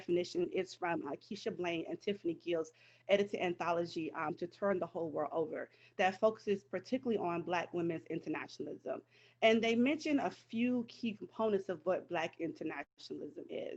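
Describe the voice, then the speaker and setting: A woman's medium-pitched voice with lively intonation at a fairly quick pace, over a quiet background. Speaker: history professor. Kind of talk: lecture. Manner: fast.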